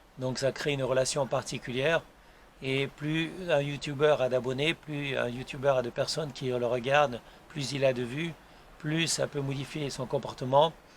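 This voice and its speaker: Delivery is a flat monotone at a moderate pace. The man's pitch sits fairly high. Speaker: YouTuber and author. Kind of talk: casual vlog monologue. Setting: outdoors on his terrace. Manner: soft-spoken; hesitant, many fillers.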